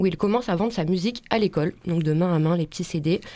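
A woman talks at a fairly quick pace in an ordinary speaking voice with ordinary pitch variation. The recording is very clean, with a silent background. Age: young. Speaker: radio columnist. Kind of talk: radio segment.

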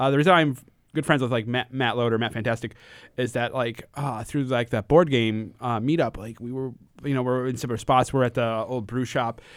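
A man with an American accent, an unremarkable speaking voice, medium pitch, fairly even intonation and a fairly quick pace. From Connecticut. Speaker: event organizer. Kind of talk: casual chat.

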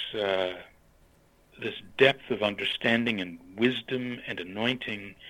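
A man speaks at a very slow pace in an American accent. His pitch is medium and his intonation fairly even. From western Pennsylvania, US. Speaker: retired church leader. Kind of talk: interview. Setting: phone call. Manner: halting.

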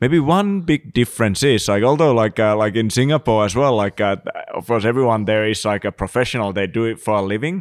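A fairly quick delivery in a Finnish accent, with ordinary pitch variation. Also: man, medium pitch for a man. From Finland. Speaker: screenwriter and creative industry veteran. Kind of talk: casual chat. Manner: halting.

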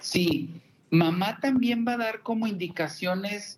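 This man talks at a fairly slow pace with lively intonation. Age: 50s. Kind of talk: interview. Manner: halting.

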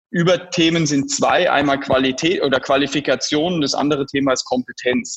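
A man with a fairly high pitch talks at a moderate pace. He has a normal speaking voice. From rural Germany. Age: 20s. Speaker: startup founder and CEO. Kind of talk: interview.

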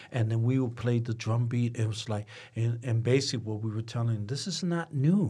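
At a moderate pace, a man with a medium pitch speaks in a somewhat breathy voice. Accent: American. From Detroit, Michigan (Corktown). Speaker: musician and activist. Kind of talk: casual interview. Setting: studio.

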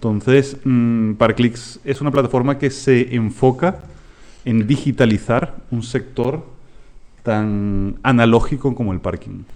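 In a Latin American accent, the speaker goes at a very slow pace with ordinary pitch variation. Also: man, medium pitch for a man. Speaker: startup founder and CEO. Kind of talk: interview.

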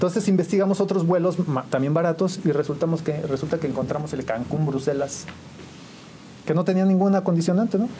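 A man with a fairly high pitch talks at a very fast pace with ordinary pitch variation. Noticeable background noise runs underneath. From Mexico, San Juan del Río, Querétaro. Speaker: musician and photographer. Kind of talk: interview storytelling.

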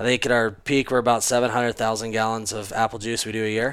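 A normal speaking voice at a fairly quick pace. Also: man. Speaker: cider company owner. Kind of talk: casual chat.

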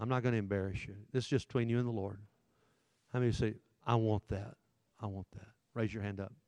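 In a Southern US accent, a man talks very fast at a fairly low pitch, with monotone, flat intonation and big swings in loudness. Long, frequent pauses break it up, and the sound is dry and close with no echo. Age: 60s. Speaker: pastor. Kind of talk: sermon-style talk to teenage boys. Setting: church room with live audience. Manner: forceful, in-your-face.

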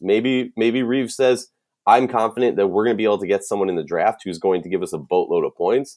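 A man with a Minnesotan accent at a very fast pace, against a quiet background. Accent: Minnesota. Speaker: sports podcast host. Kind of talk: casual sports analysis chat. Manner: casual, jokey, enthusiastic.

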